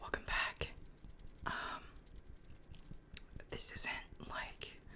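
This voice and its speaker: Whispering at a very slow pace, broken by long, frequent pauses, over noticeable background noise. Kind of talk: casual talk to camera, ASMR-style chat update. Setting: at a computer in a home.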